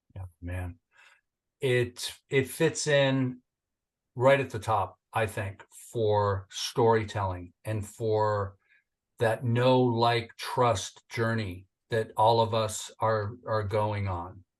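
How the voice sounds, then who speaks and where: With an American accent, a man speaks very slowly in a medium, somewhat breathy voice against a quiet background. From Northern California. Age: 60s. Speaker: entrepreneur and military veteran. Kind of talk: interview podcast. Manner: animated.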